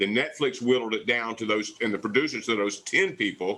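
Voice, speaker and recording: The tone is bright and sharp as this speaker goes at a fairly quick pace in a Southern US accent. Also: man. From US South, southwest Louisiana. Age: 60s. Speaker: barbecue pitmaster, TV cooking competitor. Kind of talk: casual interview chat. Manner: animated.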